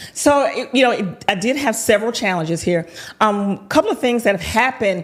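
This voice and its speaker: On a very clean recording with a silent background, a woman with a Southern US accent speaks at a fairly high pitch with ordinary pitch variation. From US South, High Point, North Carolina. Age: 50s. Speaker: entrepreneur. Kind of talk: podcast interview. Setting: podcast recording.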